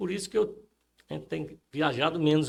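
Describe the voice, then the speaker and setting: Vocal fry runs through a man's fairly high-pitched voice. His pitch variation is ordinary. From Rio Grande do Norte, Brazil (Upanema). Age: 70s. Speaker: retired banker, interviewee. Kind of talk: interview. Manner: halting, many fillers.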